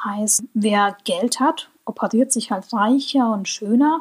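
Somewhat breathy, a woman's fairly high voice moves at a fairly slow pace. Her intonation stays fairly even. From Germany. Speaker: podcast host. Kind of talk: solo podcast monologue.

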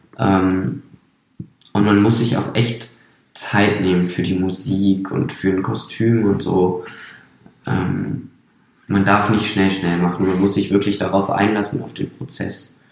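Speaking at a very slow pace with long, frequent pauses, a man with a fairly low pitch keeps his intonation fairly even while audible room echo surrounds him. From Brandenburg, Germany. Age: 20s. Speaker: circus artist. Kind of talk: interview.

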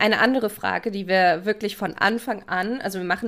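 A woman with an ordinary speaking voice, medium pitch, moderate pace and fairly even intonation. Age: 20s. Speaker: podcast co-host, criminology. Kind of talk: casual chat.

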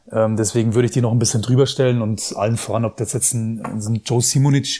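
A man talks at a very fast pace in a somewhat breathy, dark, mellow tone with fairly even intonation. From Germany. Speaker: former pro footballer and pundit. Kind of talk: casual interview. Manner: hesitant, many fillers.

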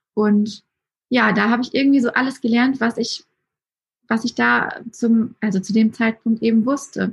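Speaking at a fairly slow pace, a woman with a somewhat breathy voice keeps her intonation fairly even. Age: 20s. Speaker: Instagram storytelling coach. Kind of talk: casual chat.

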